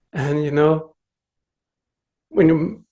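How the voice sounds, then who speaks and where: His speech carries a Swedish accent. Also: quiet background. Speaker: meditation teacher. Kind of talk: dharma talk. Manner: gentle.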